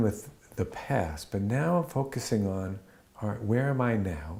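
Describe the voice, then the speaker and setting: The man's voice sits at a medium pitch and has a dark, mellow tone. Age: 60s. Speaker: blacksmith. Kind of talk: interview testimony. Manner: halting, many fillers and restarts.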